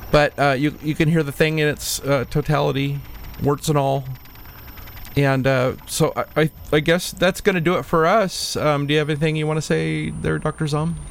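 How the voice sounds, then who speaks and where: A man talks at a moderate pace in an ordinary speaking voice. His pitch is fairly high, with fairly even intonation. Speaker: radio host. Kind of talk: radio show hosting over a video call, casual chat. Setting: home studio, video call. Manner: easygoing, chatty, playful.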